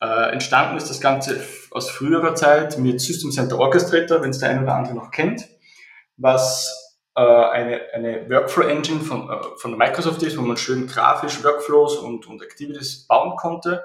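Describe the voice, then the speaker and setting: At a moderate pace, a man talks in a fairly high pitch with ordinary pitch variation and big swings in loudness. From Austria. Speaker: software company CEO. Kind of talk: interview. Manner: hesitant, many fillers and repetitions.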